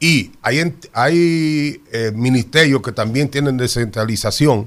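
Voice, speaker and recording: Speaking at a fairly slow pace, a man with an unremarkable speaking voice uses lively intonation at a medium pitch, on a very clean recording with a silent background. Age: 60s. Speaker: public procurement expert. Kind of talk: radio interview.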